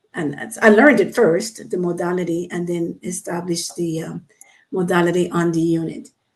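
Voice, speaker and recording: A woman talks at a moderate pace. Her pitch is fairly low, with ordinary pitch variation. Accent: Panamanian. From Panama. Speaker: psychiatric nurse and play therapist. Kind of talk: radio interview. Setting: radio studio.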